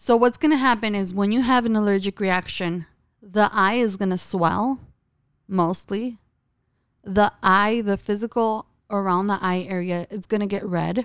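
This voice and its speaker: In a very clean recording with a silent background, a woman uses a plain, everyday voice, speaking at medium pitch and a moderate pace with ordinary pitch variation. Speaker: eyelash extension podcast co-host. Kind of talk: casual chat.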